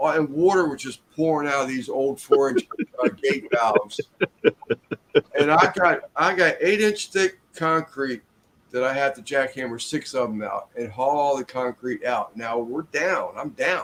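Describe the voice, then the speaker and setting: A man with a fairly high pitch talks at a fairly slow pace in an unremarkable speaking voice. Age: 60s. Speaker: construction worker. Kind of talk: casual chat.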